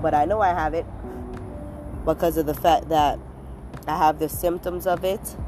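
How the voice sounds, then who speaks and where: A woman with a very deep, low voice speaks in a fairly even intonation while music plays in the background. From Caribbean. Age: 20s. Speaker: podcast host. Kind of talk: casual monologue. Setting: outdoors.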